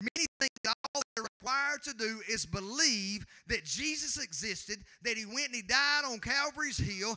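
Recorded dry and close with no echo, a man talks at a moderate pace with an extremely high pitch, a bright, sharp tone and lively intonation.

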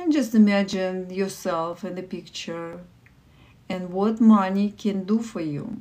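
A soft-spoken woman with a Russian accent talks at a fairly slow pace. Her tone is dark, mellow and warm, with big swings in loudness. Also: ordinary pitch variation. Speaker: livestream meditation host. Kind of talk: guided meditation. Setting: live stream with online viewers. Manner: soft, slow, calming guidance; warm, encouraging. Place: home room. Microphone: phone near.

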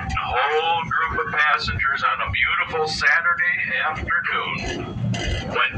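Over noticeable background noise, a man talks at a very slow pace. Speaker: train ride host. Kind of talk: storytelling announcement. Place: train. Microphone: camera far.

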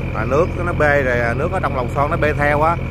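A man talks at a very fast pace over loud background noise. The sound is dry, with no echo. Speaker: boat operator vlogger. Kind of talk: casual vlog chat. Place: boat.

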